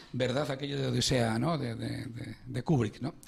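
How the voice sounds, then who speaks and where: A man speaks at a moderate pace with vocal fry. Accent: Madrid. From Spain, Madrid. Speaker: radio host, financial psychologist. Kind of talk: radio interview. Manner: hesitant, many fillers.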